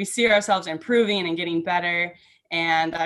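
Using a normal speaking voice with a fairly low pitch, a woman talks at a fairly quick pace on a very clean recording with a silent background. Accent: American. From Minnesota (Saint Michael). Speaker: college gymnast. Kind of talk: interview.

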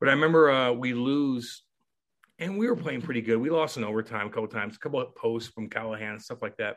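A man speaks very fast in an American accent. His pitch variation is ordinary. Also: medium pitch for a man. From US Midwest, Missouri (Eureka, near St. Louis). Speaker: retired pro hockey enforcer. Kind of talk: interview storytelling. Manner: animated.

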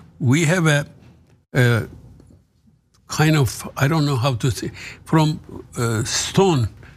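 A man talks at a very slow pace in a somewhat breathy voice with ordinary pitch variation. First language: Turkish. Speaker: author. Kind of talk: casual interview. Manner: halting.

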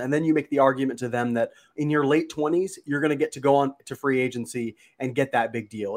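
He has a plain, everyday voice at medium pitch for a man. His pace is fairly quick, and his pitch varies in an ordinary way. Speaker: baseball analyst guest. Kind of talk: casual sports podcast chat.

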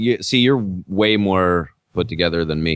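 A man talks at a fairly slow pace with lively intonation. The sound is dry and close, with no echo. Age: 30s. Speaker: podcast host and comedian. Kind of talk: casual chat.

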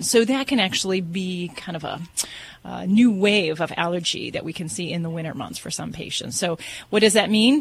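A woman's ordinary speaking voice, medium in pitch, with ordinary pitch variation. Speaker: veterinarian. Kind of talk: call-in advice show.

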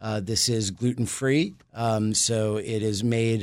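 A man with an American accent uses a normal speaking voice, a medium pitch, and fairly even intonation. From New York City. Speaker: brewery owner. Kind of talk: casual interview.

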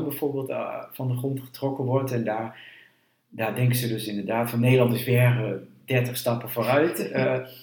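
At a moderate pace, a man of medium pitch talks with fairly even intonation, and the room echo is audible. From eastern Netherlands, Twente. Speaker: historian, university director. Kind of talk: interview. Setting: at his home.

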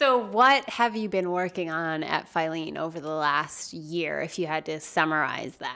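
With an unremarkable speaking voice, a woman talks at a moderate pace in a fairly low pitch, using lively intonation and hardly any pauses. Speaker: podcast host. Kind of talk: casual interview conversation.

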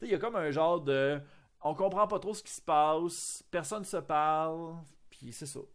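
In a Quebec accent, the speaker goes at a fairly slow pace with ordinary pitch variation and big swings in loudness. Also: man, fairly high pitch for a man. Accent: Québécois French. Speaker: podcast host. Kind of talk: casual chat. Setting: video call.

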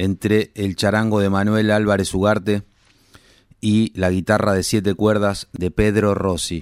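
A man talks at a fairly low pitch and a very slow pace. The recording is very clean, the background silent. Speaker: radio host. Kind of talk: radio presenting.

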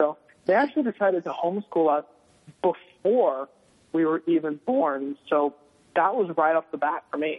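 Speaking at a moderate pace with an American accent, a man uses an ordinary speaking voice with a fairly high pitch. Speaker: former missionary. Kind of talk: interview.

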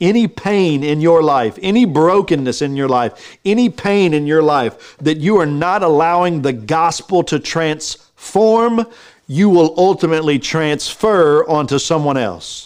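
An animated tone with lively intonation and an American accent, at a fairly slow pace, in a quiet background. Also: man, fairly high pitch for a man. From Texas. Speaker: pastor. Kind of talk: sermon. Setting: live stream.

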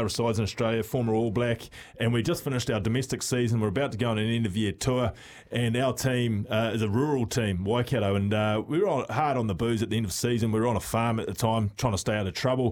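With a New Zealand accent, the speaker talks at a very fast pace with very even loudness. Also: man. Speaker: former rugby player, radio pundit. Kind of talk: casual chat.

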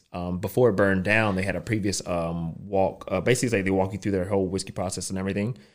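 A man with a fairly low voice talks at a very fast pace with hardly any pauses. The recording is very clean, the background silent. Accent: Southern US. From US South. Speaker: podcast guest. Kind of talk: casual chat. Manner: fast talker.

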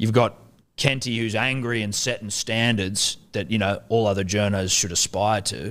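A man with an Australian accent speaks at a moderate pace in a fairly low voice with fairly even intonation. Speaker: sports podcaster. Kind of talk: casual chat.

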